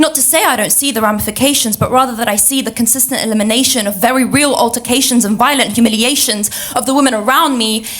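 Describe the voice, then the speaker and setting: Through noticeable background noise, a woman speaks with a high pitch. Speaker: spoken word poet. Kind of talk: spoken word poetry performance. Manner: rhythmic.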